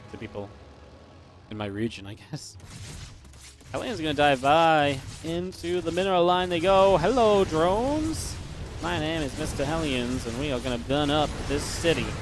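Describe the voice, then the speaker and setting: A fairly high-pitched man at a fairly quick pace, with very wide pitch swings and big swings in loudness. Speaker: esports commentator. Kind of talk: live commentary. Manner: animated.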